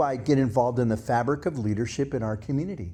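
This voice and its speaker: Over a quiet background, a man with a medium pitch and a dark, mellow tone talks with ordinary pitch variation. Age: 70s. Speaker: community leader. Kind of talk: talk to a gathering.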